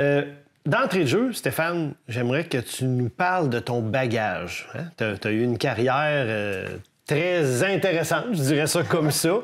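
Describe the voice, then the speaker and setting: On a very clean recording with a silent background, a man talks at a fairly slow pace with a fairly high pitch and lively intonation. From Quebec City. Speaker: fishing show host. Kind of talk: interview.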